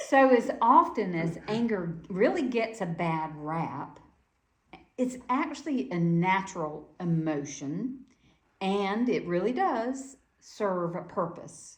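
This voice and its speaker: In a Southern US accent, a woman speaks very slowly with a medium pitch, a somewhat breathy quality and very wide pitch swings, with audible room echo around her. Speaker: Quaker speaker. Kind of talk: sermon.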